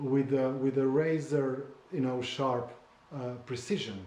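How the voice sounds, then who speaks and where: A man with a Slovene accent is heard with audible room echo and noticeable background noise. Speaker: memoir author. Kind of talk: casual conversation. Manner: halting, with many repetitions and fillers.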